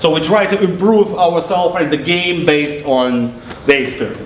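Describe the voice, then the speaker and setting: Lively intonation at a moderate pace with a Russian accent, with audible room echo and noticeable background noise. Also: man. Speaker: game developer. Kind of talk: live product demo presentation. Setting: press event presentation. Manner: halting, with filler words and repetitions.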